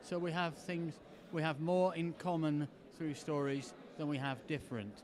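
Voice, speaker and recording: Speaking with an English accent, a man keeps a moderate pace at a fairly high pitch with ordinary pitch variation. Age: 70s. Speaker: storyteller. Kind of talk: storytelling performance; interview. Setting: festival.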